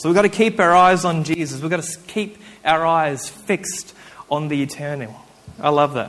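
Fairly high-pitched man's voice with an Australian accent. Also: ordinary pitch variation, moderate pace. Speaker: preacher. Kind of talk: sermon. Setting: church with congregation. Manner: halting, with frequent fillers.

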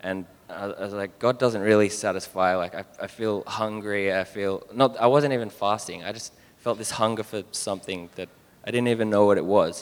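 Speaking in an Australian accent at a moderate pace, a man with a fairly low pitch keeps his intonation fairly even while his loudness swings widely. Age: 20s. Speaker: church member. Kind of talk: testimony. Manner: halting.

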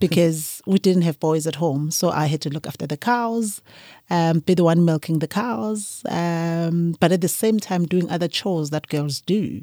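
In a very clean recording with a silent background and a dry, close sound with no echo, a woman speaks at a moderate pace with a dark, mellow tone, fairly low pitch and ordinary pitch variation. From KwaZulu-Natal, South Africa. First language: Zulu. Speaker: winemaker. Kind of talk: interview conversation.

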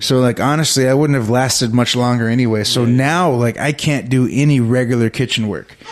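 Over noticeable background noise, a man with an American accent speaks fairly quickly at medium pitch, his intonation fairly even. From Texas, Victoria. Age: 30s. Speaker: comedian. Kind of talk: casual chat.

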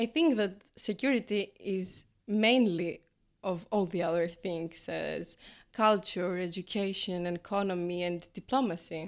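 On a very clean recording with a silent background, a woman speaks in a Greek accent. Her pitch is medium with ordinary variation, and her pace is fairly slow. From Greece. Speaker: graduate student and primary school teacher. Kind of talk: casual interview. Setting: café.

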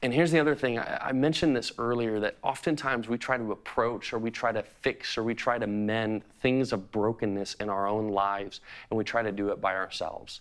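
With an ordinary speaking voice at a medium pitch, a man talks with hardly any pauses. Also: ordinary pitch variation, fairly quick pace. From US Midwest, Chicago. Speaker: pastor. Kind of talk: sermon.

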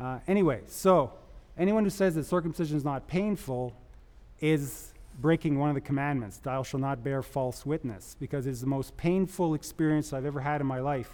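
A man speaks in a fairly high pitch with ordinary pitch variation. It is a normal speaking voice. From Canada. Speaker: epidemiologist. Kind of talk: panel talk, personal testimony. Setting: stage with audience.

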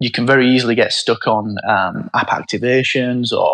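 A man with a Yorkshire accent speaks at a medium pitch. The sound is dry and close, with no echo. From northern England, Barnsley (South Yorkshire). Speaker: startup founder. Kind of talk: interview.

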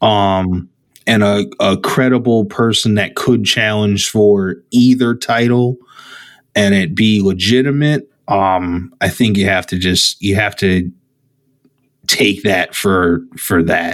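Speaking at a very slow pace, a man with a fairly low pitch uses ordinary pitch variation. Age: 30s. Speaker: wrestling podcast co-host. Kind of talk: casual chat.

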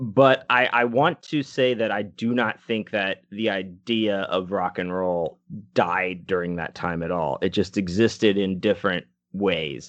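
A normal speaking voice moves at a fairly slow pace. Its pitch varies in an ordinary way. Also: man, fairly low pitch for a man. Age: 40s. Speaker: podcast co-host. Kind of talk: casual chat.

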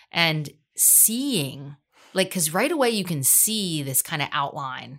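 A woman's bright, sharp, fairly low voice at a very slow pace, on a very clean recording with a silent background. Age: 40s. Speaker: cosmetic surgery patient sharing her experience. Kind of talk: casual interview.

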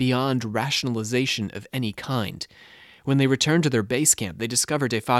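Natural-voiced reading aloud

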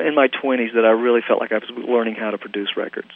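Medium-pitched man with an American accent, against noticeable background noise. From US South, Southern gospel home. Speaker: music producer. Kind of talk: interview. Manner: halting, many fillers.

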